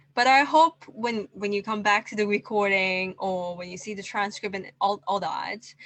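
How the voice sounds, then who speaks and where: At a fairly slow pace, a woman talks in a bright, sharp tone. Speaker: event moderator. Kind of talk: closing remarks.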